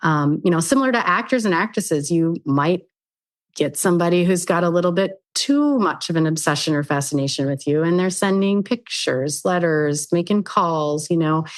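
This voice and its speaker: Against a quiet background, a woman with a Minnesotan accent speaks at a moderate pace with very even loudness. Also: fairly low pitch for a woman, ordinary pitch variation. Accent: Minnesota. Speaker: documentary producer. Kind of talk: interview.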